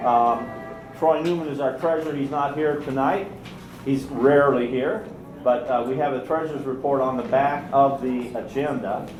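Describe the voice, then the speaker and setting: A man at a medium pitch with ordinary pitch variation, amid audible room echo and noticeable background noise. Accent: American. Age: 60s. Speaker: meeting chair, political organizer. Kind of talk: meeting proceedings. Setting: meeting room with audience.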